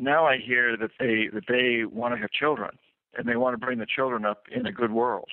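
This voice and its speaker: Speaking at a moderate pace, this man uses a normal speaking voice. His pitch sits mid-range and varies in an ordinary way. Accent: American. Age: 60s. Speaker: author and former economic advisor. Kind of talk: radio interview.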